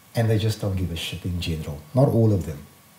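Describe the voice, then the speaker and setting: Somewhat breathy, a man talks at a fairly quick pace in a dark, mellow tone. His pitch swings very widely. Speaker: community activist and political party leader. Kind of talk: impassioned podcast interview. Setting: studio. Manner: fast; animated.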